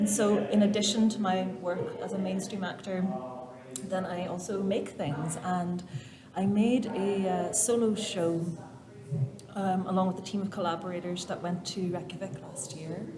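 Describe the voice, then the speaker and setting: A woman with a Derry accent speaks at a moderate pace and medium pitch, with noticeable background noise and audible room echo. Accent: Northern Irish (Derry). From Northern Ireland, Derry. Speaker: actor and theatre maker. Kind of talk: interview conversation. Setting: arts center stage area. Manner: animated.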